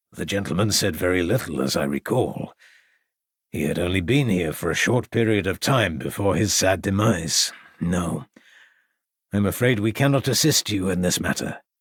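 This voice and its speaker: With a very clean recording and silent background, a man uses a raspy, put-on character voice at a very deep, low pitch, speaking at a moderate pace with lively intonation. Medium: read story. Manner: courteous, formal.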